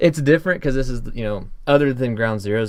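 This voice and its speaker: At a fairly quick pace, this man talks with an American accent. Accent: Southern accent, slightly toned down. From US South. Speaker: podcast host. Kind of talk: casual chat. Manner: drops g's.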